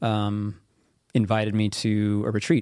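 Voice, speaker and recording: A man with a Midwestern American accent speaks at fairly low pitch. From US Midwest (central Kansas). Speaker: military veteran and author. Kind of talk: interview conversation.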